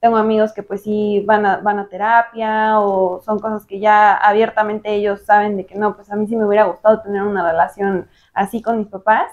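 A woman with a Mexican accent talks at a moderate pace with hardly any pauses. Her intonation is monotone and flat, while her loudness swings widely. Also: medium pitch for a woman. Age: 20s. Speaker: marketer. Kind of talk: interview.

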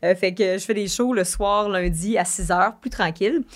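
An ordinary speaking voice from a woman at medium pitch, moderate pace and ordinary pitch variation, in a very clean recording with a silent background. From Quebec (Varennes). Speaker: streamer and singer. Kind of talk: casual chat. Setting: studio.

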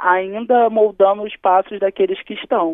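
This is an unremarkable speaking voice, moving along at a moderate pace. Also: woman. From Rio de Janeiro, Brazil. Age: 20s. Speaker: state legislator. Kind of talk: interview.

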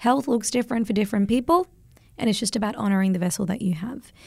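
With an Australian accent, a woman speaks at a very fast pace in a somewhat breathy voice on a very clean recording with a silent background. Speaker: podcast host. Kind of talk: casual chat. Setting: studio.

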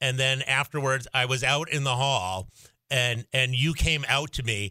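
A man with an American accent has a normal speaking voice, fairly high in pitch, at a moderate pace. The recording is very clean, with a silent background. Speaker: radio host (state senator filling in). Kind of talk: radio interview. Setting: radio studio.

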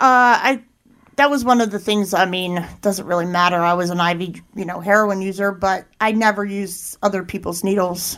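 With a Philadelphia accent, a woman talks at a moderate pace and medium pitch with fairly even intonation, on a very clean recording with a silent background. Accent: Philadelphia-area American. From Pennsylvania, Chester County. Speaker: addiction treatment intake worker in recovery. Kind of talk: interview testimony.

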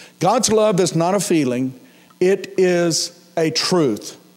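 With an American accent and lively intonation, a man speaks amid noticeable background noise and audible room echo. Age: 60s. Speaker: pastor. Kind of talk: sermon.

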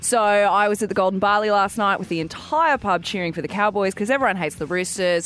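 With music in the background, a woman in an Australian accent talks at a very fast pace and medium pitch, with ordinary pitch variation and hardly any pauses. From Wollongong, New South Wales. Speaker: radio sports show co-host. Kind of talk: casual radio banter. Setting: radio studio.

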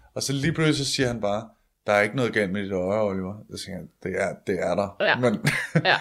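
Here is a man with an unremarkable speaking voice and a fairly low pitch. He speaks fairly quickly with ordinary pitch variation. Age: 20s. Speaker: comedian. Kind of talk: interview about illness.

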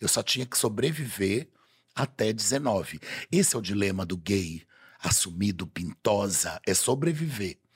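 A man speaks at a fairly slow pace with a fairly low pitch. His intonation is lively, and he sounds somewhat breathy. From Belém, Pará, Brazil. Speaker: carnival designer and TV personality. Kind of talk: casual chat. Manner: flamboyant, theatrical.

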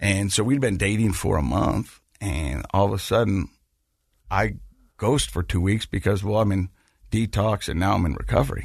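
Man with an American accent, fairly low pitch, vocal fry and lively intonation, against a quiet background. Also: moderate pace. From Utah (Ogden). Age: 40s. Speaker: podcast host and former radio newscaster. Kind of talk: interview testimony. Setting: studio. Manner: animated storytelling.

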